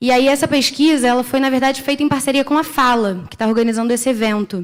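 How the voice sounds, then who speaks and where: A woman with a high pitch speaks very fast, keeping her loudness very even. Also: ordinary pitch variation. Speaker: internet policy researcher. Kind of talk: conference panel talk. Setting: conference stage with audience.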